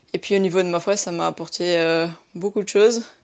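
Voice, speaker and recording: A woman speaks at a fairly slow pace in a fairly low pitch, with fairly even intonation. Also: quiet background. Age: 20s. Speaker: radio volunteer. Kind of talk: testimony.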